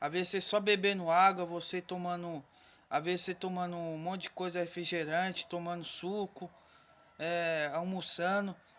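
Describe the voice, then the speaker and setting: In a very clean recording with a silent background, a man speaks at a high pitch and a moderate pace, his intonation flat and monotone. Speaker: vlogger. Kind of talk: casual vlog talk to viewers.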